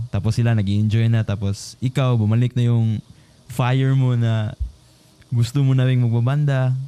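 A man's medium-pitched voice, dark and mellow in tone, monotone and flat, with very even loudness. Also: moderate pace. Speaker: podcast host. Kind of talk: casual interview chat.

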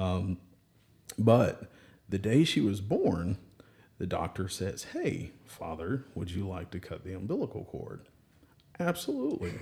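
Somewhat breathy and fairly low-pitched, a man speaks with ordinary pitch variation and long, frequent pauses. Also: fairly slow pace. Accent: Southern US. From Alabama, Birmingham. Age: 30s. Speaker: church member and parent. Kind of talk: casual chat.

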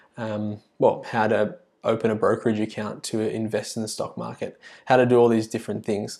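In an Australian accent, a man talks at medium pitch with monotone, flat intonation. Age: 20s. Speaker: podcast host and primary school teacher. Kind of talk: solo podcast monologue. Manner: halting, many fillers and restarts.

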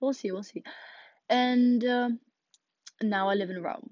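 Speaking in a Russian accent, a woman with a fairly high pitch talks at a moderate pace with ordinary pitch variation. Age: young. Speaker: podcaster. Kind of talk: casual monologue. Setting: home closet.

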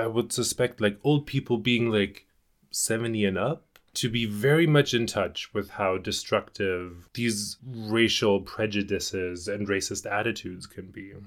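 A fairly slow voice in a German accent with ordinary pitch variation, on a very clean recording with a silent background. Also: man, fairly low pitch for a man. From Germany (rural). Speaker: podcast guest, host's boyfriend. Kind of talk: casual chat. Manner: careful.

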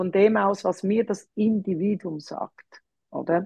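This woman has an unremarkable speaking voice, medium in pitch with ordinary pitch variation. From Switzerland, Zurich. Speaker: dog trainer. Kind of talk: interview.

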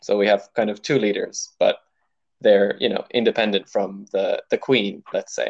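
At a moderate pace, a man talks with an American accent. The sound is dry and close, with no echo. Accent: Irish, somewhat American-sounding. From Ireland. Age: 20s. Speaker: podcast guest. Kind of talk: casual interview. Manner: hesitant, many fillers.

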